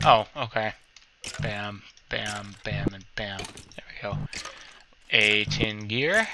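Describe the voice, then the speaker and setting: Over noticeable background noise, a man speaks at a very slow pace with long, frequent pauses and a fairly low pitch. His intonation stays fairly even while his loudness swings widely. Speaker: gaming youtuber. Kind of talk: gameplay commentary. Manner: halting.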